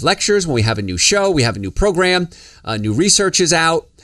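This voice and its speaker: A man with a New Jersey accent talks at a fairly quick pace, high in pitch with very wide swings. The recording is very clean, the background silent. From New Jersey, US. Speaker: health podcast host, doctor. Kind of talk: casual podcast talk. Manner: fast.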